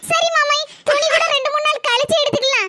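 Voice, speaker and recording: A woman performs a cartoonish character voice at extremely high pitch and a moderate pace. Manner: sweet, affectionate.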